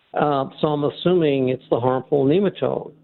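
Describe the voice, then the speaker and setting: A fairly high male voice, fairly slow in pace and ordinary in pitch variation. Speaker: caller. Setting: phone call.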